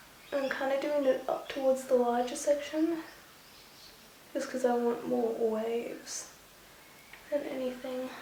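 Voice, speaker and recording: Soft-spoken and high-pitched, a woman talks at a fairly slow pace with fairly even intonation and long, frequent pauses, amid audible room echo and noticeable background noise. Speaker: beauty vlogger. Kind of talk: tutorial.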